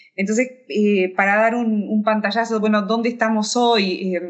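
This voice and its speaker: With a fairly high pitch, a woman speaks at a fairly slow pace and with fairly even intonation. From Uruguay, near Tacuarembó. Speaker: economics professor. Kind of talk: interview. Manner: halting, many fillers and repeats.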